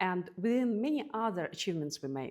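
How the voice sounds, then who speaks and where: A woman talks at a moderate speed in a very clean recording, silent background. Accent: non-native. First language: not English. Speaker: podcast host. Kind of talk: interview answers, casual.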